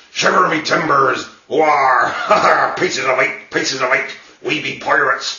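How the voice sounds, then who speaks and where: A man's put-on character voice, fairly high in pitch, at a moderate pace with slight echo. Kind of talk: exaggerated, theatrical.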